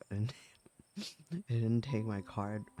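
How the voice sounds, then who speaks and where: A soft-spoken man talks at a fairly slow pace in a fairly low pitch with ordinary variation. Music plays in the background. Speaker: streamer. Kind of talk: casual talk to camera.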